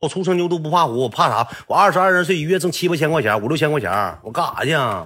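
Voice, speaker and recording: A very fast, animated man with a Northeastern Chinese accent, fairly high pitch, lively intonation, vocal fry and a bright, sharp tone. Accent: Northeastern Mandarin. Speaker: storyteller. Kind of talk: casual storytelling monologue.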